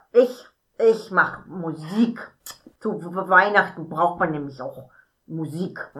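Using a put-on character voice, a female-sounding speaker in a medium pitch talks at a very slow pace with long, frequent pauses. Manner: excitable, stammering.

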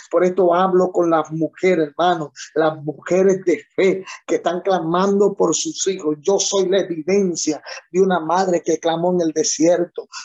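A man with a high pitch at a fairly slow pace, with very even loudness. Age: 30s. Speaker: pastor. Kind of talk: sermon. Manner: animated.

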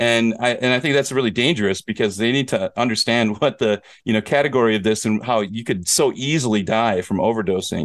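A man talks at a fairly quick pace in a plain, everyday voice. His pitch is medium with ordinary variation, over a quiet background. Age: 40s. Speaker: podcast host and teacher in Korea. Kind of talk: casual chat.

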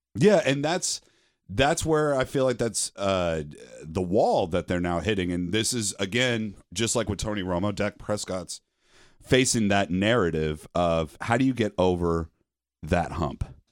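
A man with an American accent and a normal speaking voice, fairly low in pitch, with lively intonation at a fairly slow pace, on a very clean recording with a silent background. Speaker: sports podcast host. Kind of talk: casual chat.

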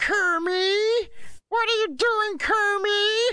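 Someone uses a put-on character voice at an extremely high pitch, speaking at a very slow pace. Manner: dramatic, indignant.

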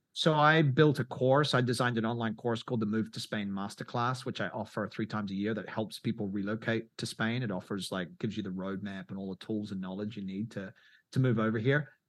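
Speaking with a New Zealand accent, a man uses a medium pitch and ordinary pitch variation. He goes at a very fast pace with hardly any pauses, over a quiet background. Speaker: travel YouTuber and filmmaker. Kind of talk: interview. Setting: video call.

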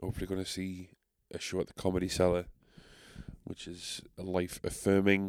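The recording is very clean, with a silent background. A man with a very deep, low pitch speaks at a moderate pace. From England, South Shields. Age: 30s. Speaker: podcast host. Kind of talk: solo casual monologue. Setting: home recording in a basement. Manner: animated.

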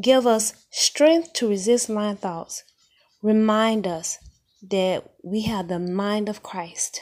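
The woman's fairly high voice goes very slowly, its pitch shifting in an ordinary way. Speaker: prayer podcast host. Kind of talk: fervent prayer. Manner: impassioned, commanding; repetitive, rhythmic, with Hallelujah exclamations.

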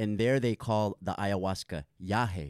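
A man with an unremarkable speaking voice and an American accent, fairly low in pitch, with ordinary pitch variation, at a moderate pace, in a dry, close sound with no echo. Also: very clean recording, silent background. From Santa Monica, California. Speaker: yoga and meditation teacher. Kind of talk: casual interview.

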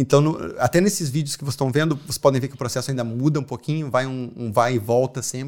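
A man with a strong Porto Alegre accent talks at a very fast pace in a medium pitch with fairly even intonation. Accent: strong gaúcho (Porto Alegre). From southern Brazil, Porto Alegre. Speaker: artist and muralist. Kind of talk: casual interview.

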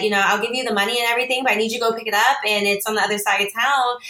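A woman's very fast, fairly high-pitched voice with fairly even intonation over noticeable background noise. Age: 30s. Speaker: single mom and small business owner. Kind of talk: interview.

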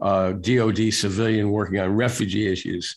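A man's fairly low-pitched, fairly even voice, a plain, everyday voice. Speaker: national security journalist, newsletter founder. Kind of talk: interview conversation.

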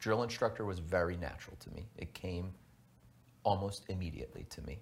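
This man's pitch is very deep and low. He sounds somewhat breathy and talks at a fairly quick pace. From Texas, Houston. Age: 30s. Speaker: navy veteran and former drill instructor. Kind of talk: interview. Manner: halting.

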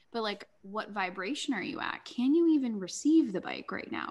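At a moderate pace, a woman with lively intonation talks in an unremarkable speaking voice. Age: 30s. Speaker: life coach and healer. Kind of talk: casual interview chat.

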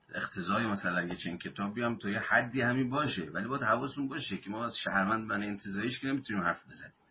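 Nearly without pauses, a man talks at a very fast pace in a fairly low pitch with ordinary pitch variation against noticeable background noise. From Iran, Mazandaran. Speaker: book discussion leader. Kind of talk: lecture.

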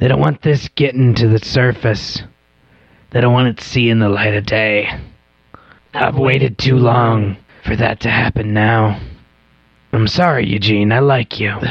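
A man puts on a character voice. He keeps a moderate pace with long, frequent pauses. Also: medium pitch for a man. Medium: actual play. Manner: persuasive, coaxing, turning menacing.

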